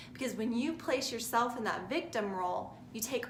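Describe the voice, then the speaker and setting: There's audible room echo and noticeable background noise as a woman speaks with ordinary pitch variation. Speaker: spiritual self-help vlogger. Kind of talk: motivational talk to camera. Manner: stuttering today; casual, frequent okay fillers.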